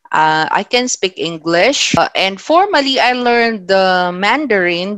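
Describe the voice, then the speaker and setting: Speaking with a Philippine accent, a woman uses lively intonation. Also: dry, close sound with no echo. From Philippines, Ilocano-speaking region. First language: Ilocano. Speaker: teacher. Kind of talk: lecture. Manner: measured, with filler hesitations.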